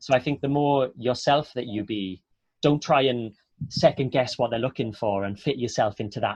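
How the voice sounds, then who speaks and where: With a Welsh accent, a man talks at a fairly quick pace in a somewhat breathy voice. The background is quiet. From Wales, Port Talbot. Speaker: actor. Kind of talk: online Q&A interview.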